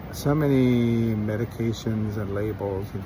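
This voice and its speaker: A man with an American accent and a fairly low pitch, with audible room echo and noticeable background noise. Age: 60s. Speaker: travel vlogger. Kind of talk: casual vlog monologue. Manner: casual, conversational.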